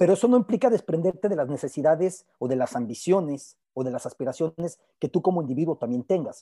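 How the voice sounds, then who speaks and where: Speaking at a fairly quick pace, a man with a high pitch and a dark, mellow tone uses lively intonation, and the sound is dry and close with no echo. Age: 40s. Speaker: sports journalist. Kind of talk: panel discussion.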